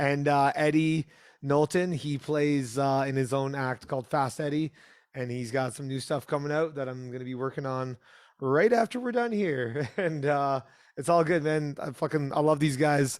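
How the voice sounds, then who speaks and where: A man with a plain, everyday voice, fairly high in pitch with ordinary pitch variation, at a moderate pace, in a very clean recording against a silent background. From Canada, Toronto. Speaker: punk musician and producer. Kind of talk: casual interview chat. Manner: casual, lots of filler words.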